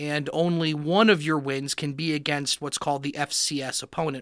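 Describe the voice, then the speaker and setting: Bright and sharp in tone, a man with an American accent and fairly high pitch speaks at a moderate pace with fairly even intonation on a very clean recording with a silent background. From Miami, Florida. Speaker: professor. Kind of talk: interview.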